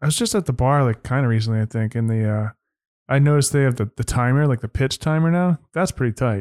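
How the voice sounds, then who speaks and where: Very clean and silent in the background, the recording sounds dry and close with no echo. A man of medium pitch talks very fast with very even loudness. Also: ordinary pitch variation. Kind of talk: casual banter.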